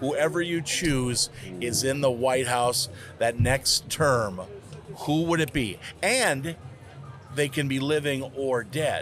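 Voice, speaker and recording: A man's medium-pitched voice at a very slow pace, with ordinary pitch variation, very even loudness and long, frequent pauses, music playing in the background. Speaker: podcast interviewer. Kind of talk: casual interview conversation.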